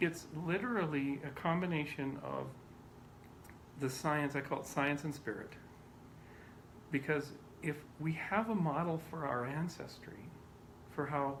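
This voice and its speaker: A man with a fairly high, somewhat breathy voice talks at a fairly slow pace, his pitch varying in an ordinary way. Long, frequent pauses break up his speech, and the room echo is audible. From Canada. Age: 50s. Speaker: scientist. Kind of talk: interview.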